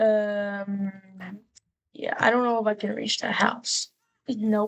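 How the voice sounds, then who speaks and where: At a very slow pace, a woman speaks with fairly high pitch. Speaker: gaming streamer. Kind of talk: casual gameplay commentary. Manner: casual, animated; stuttering, halting at times.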